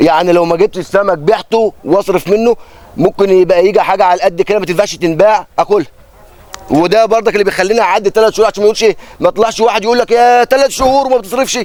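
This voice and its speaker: A very fast man's voice, high in pitch, very even in loudness, over noticeable background noise. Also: ordinary pitch variation. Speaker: fisherman. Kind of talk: interview.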